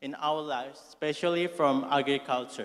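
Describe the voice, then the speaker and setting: This man has an Indonesian accent and a fairly high-pitched voice. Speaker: student asking a question. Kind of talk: audience question at conference. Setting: auditorium. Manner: reading from phone.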